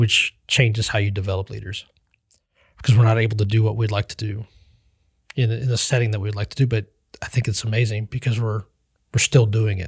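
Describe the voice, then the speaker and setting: Here a man with an American accent talks at a fairly quick pace and fairly low pitch, somewhat breathy and monotone, with flat intonation. He takes long, frequent pauses, and the sound is dry and close with no echo. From Western Kansas. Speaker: pastor. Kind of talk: interview testimony.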